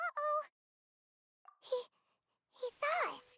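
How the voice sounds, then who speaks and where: A put-on character voice, squeaky and pitched extremely high. The tone sounds anxious. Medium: video game. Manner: excitable, anxious.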